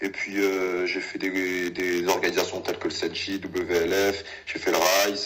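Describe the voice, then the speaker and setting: A man speaks fairly slowly, with audible room echo and noticeable background noise around him. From Paris suburbs (Val-d'Oise, near Sarcelles). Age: 20s. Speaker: professional kickboxer. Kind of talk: casual interview. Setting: call.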